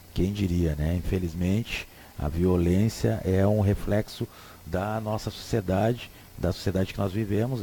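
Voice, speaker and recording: A man's very deep, low voice, dark and mellow in tone and somewhat breathy. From Rio Grande do Sul, southern Brazil. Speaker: radio host. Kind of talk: radio talk show commentary. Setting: radio studio. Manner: casual, hesitant with repetitions.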